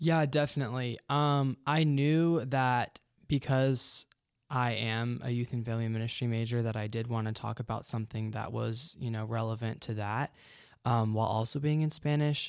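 This is an unremarkable speaking voice from a man at a medium pitch. He keeps a moderate pace and fairly even intonation. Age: young. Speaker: ministry student. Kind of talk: interview. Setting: studio.

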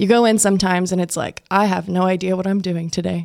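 A woman speaks in a normal speaking voice with an American accent, at medium pitch and a moderate pace. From West Texas (Plains, near Lubbock). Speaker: TV news reporter and anchor. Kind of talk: casual chat. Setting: studio.

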